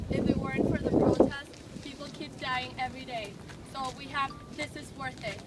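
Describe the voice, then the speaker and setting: A woman speaks at a high pitch and a moderate pace with monotone, flat intonation. Noticeable background noise and audible room echo come through. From Venezuela. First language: Spanish. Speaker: student protest organizer. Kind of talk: speech at a street protest.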